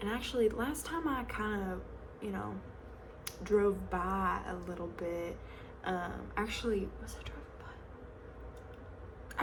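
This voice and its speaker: A woman speaks at a moderate pace with a Southern US accent. She leaves long, frequent pauses over noticeable background noise. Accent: Southern American. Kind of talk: ASMR roleplay, casual gossip with a friend. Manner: chatty, friendly.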